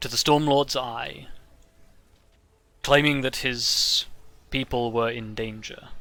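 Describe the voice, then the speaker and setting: A man's put-on character voice at medium pitch, fairly slow, with long, frequent pauses. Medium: actual play. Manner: formal, measured.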